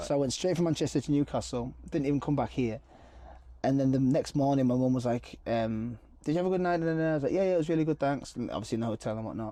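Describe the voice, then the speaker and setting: With a Cumbrian accent, a man talks very fast in a fairly high, dark, mellow voice with ordinary pitch variation over a quiet background. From Appleby, Cumbria, England. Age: 30s. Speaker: model, actor and singer. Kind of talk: interview answer.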